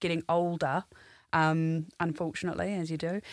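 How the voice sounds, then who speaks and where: A woman with a New Zealand accent speaks at a fairly low pitch on a very clean recording with a silent background. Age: 30s. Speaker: complaint specialist. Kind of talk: casual chat.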